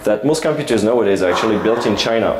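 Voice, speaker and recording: Amid noticeable background noise and audible room echo, a man speaks at a medium pitch with lively intonation. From France. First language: French. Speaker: security researcher, conference speaker. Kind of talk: conference talk. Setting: stage with audience. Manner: halting, many fillers.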